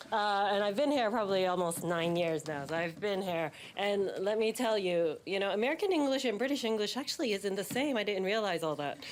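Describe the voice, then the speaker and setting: A woman in a New York accent speaks at a fairly quick pace with lively intonation and very even loudness. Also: medium pitch for a woman. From New York City, Manhattan. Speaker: banking executive, keynote speaker. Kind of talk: keynote speech. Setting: stage with audience, behind a podium. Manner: casual, humorous.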